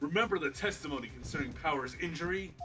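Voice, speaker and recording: In a put-on character voice, a man talks at a very fast pace with a fairly high pitch over clear background noise. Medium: game stream. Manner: prickly, gossipy.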